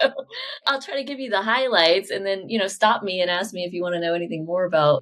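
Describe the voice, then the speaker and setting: A plain, everyday voice from a woman in an American accent, medium in pitch, with lively intonation and a fairly quick pace. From Oklahoma, US. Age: 40s. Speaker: podcast host and business coach. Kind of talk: interview (being interviewed on own podcast). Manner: casual, chatty.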